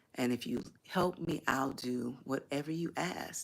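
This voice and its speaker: Recorded very cleanly against a silent background, a woman speaks with vocal fry and ordinary pitch variation. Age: 60s. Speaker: YouTube channel host, life coach. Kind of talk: livestream monologue. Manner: hesitant, many fillers.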